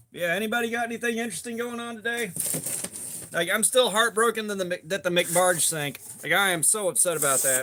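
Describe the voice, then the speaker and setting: A man with a raised, projected voice speaks very fast at a high pitch. Noticeable background noise runs beneath him. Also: ordinary pitch variation. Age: 40s. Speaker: knife tester livestreamer. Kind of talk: casual livestream chat. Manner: energetic; casual, profane.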